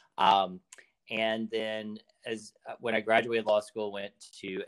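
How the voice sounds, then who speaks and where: This man talks at a very slow pace, his pitch fairly low. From Arkansas. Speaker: lawyer. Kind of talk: interview conversation.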